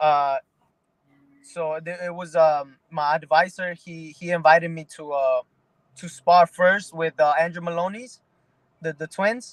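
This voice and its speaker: With a New York accent, a man speaks in a high pitch with fairly even intonation. His pace is fairly slow, and the sound is dry and close, with no echo. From Mexico, raised in the Bronx, New York. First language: Spanish. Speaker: pro boxer. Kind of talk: interview. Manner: halting, many repeated words.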